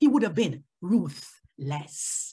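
The voice swings very widely in pitch and moves at a very slow pace. Vocal fry runs through it. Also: woman. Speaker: lay preacher. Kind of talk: sermon. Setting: online service. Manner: loud; animated.

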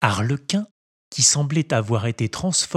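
The background stays quiet. Lively intonation runs through the unforced reading voice.

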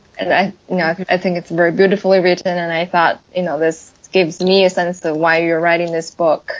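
Against noticeable background noise, a woman talks fairly quickly at a fairly low pitch, with flat, monotone intonation and hardly any pauses. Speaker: podcast co-host. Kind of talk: interview questions.

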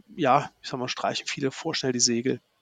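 A man at medium pitch, with a dry, close sound and no echo. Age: 50s. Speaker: IT sales account manager. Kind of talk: podcast interview. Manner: halting.

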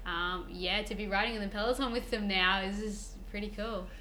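A woman speaks in an Australian accent at a fairly quick pace. Her fairly high pitch shows ordinary variation, with noticeable background noise present. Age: 20s. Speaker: professional cyclist. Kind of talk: interview. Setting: in person at a table.

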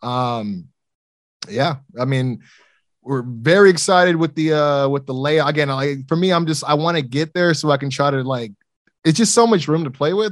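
Delivered at a fairly quick pace, a normal speaking voice shows ordinary pitch variation. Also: man. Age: 30s. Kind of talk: casual interview.

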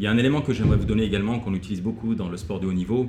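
A man speaks at a fairly low pitch with fairly even intonation. Audible room echo surrounds his voice. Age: 40s. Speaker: motivational coach and former kung fu athlete. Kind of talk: casual interview.

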